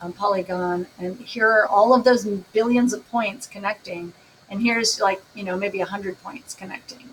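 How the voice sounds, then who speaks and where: The pitch variation is ordinary. Noticeable background noise runs underneath. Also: woman. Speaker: math teacher. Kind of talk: recorded lesson. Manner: casual.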